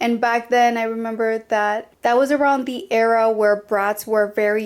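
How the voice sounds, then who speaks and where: The speaker talks at a moderate pace with a Spanish accent. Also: woman. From Colombia. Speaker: podcast host. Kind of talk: personal storytelling podcast. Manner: casual, chatty.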